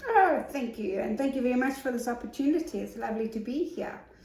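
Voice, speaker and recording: A woman speaks at a fairly quick pace with lively intonation, her voice carrying audible room echo over noticeable background noise. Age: 60s. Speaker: business support consultant and author. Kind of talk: interview.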